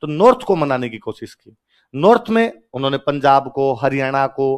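There's a man speaking with lively intonation at a moderate pace. The background is quiet. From Rajasthan, India. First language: Rajasthani (speaking Hindi). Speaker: teacher. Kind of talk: lecture. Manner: animated. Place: classroom. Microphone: headset.

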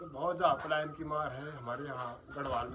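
Over noticeable background noise, a man with a fairly high pitch talks at a moderate pace with fairly even intonation. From Uttarakhand, Pauri Garhwal; Uttarakhand. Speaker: village vlogger. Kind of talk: casual chat. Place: home room.

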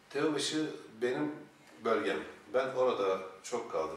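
Lively intonation from a man with long, frequent pauses, audible room echo and light background noise. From Eskişehir, Turkey. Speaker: political candidate. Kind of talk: formal interview. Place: office.

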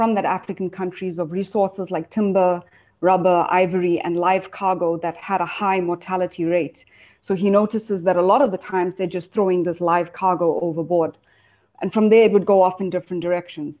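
A fairly quick pace over a quiet background. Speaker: speaker. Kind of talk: storytelling talk in a webinar. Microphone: video call.

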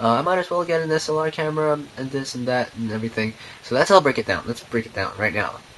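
Noticeable background noise sits behind a man speaking. He talks at a very fast pace with ordinary pitch variation. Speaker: camera reviewer, show host. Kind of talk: casual talk to camera, camera review. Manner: casual, enthusiastic.

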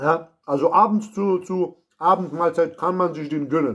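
Very slow speech with ordinary pitch variation sits over a quiet background. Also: man. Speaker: food reviewer. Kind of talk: casual food review vlog. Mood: playful, joking. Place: kitchen. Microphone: phone near.

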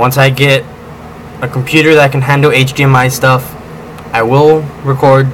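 A man talks at a fairly slow pace in a monotone, flat intonation. Long, frequent pauses break up his speech over noticeable background noise. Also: medium pitch for a man. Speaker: gaming YouTuber. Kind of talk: casual video update, talking to camera. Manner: halting, rambling, self-correcting.

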